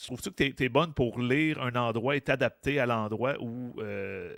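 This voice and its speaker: The recording is very clean, and the background is silent. A man's voice sits at a medium pitch and shows ordinary pitch variation. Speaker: comedian and podcast host. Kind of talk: casual chat. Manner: mumbling.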